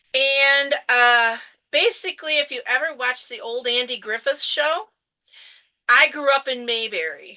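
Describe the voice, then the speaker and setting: Raising and projecting her voice, a woman with an American accent speaks at a high pitch and a fairly slow pace in a bright, sharp tone. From Michigan, Newaygo County. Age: 60s. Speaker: retired special education teacher. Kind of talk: interview storytelling.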